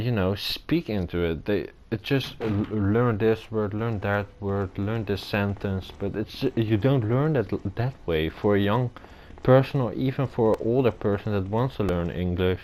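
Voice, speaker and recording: A man with a non-native accent speaks at a moderate pace. His pitch is fairly low, with ordinary pitch variation. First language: not English. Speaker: gamer playing a video game. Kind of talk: gameplay commentary. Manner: halting.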